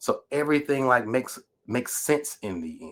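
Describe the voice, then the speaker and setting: A man with an American accent. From Natchez, Mississippi. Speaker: writer, educator, PhD candidate. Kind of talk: podcast interview answer.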